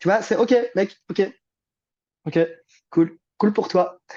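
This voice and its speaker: This man speaks at a fairly slow pace in a high pitch. His pitch varies an ordinary amount. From Belgium, Liège. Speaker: therapist and coach. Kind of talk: interview conversation. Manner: casual, hesitant with repetitions.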